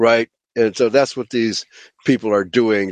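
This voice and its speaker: In an unremarkable speaking voice, a man talks at medium pitch and a moderate pace with fairly even intonation, the sound dry and close with no echo. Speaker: pastor and radio host. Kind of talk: religious teaching show with discussion of scripture. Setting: internet radio show.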